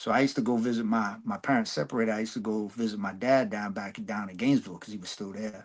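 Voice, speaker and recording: A man with an American accent talks at a very fast pace and a fairly low pitch, with hardly any pauses. His intonation stays fairly even while his loudness swings widely. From New York. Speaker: rapper. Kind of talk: casual interview chat. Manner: halting, many fillers.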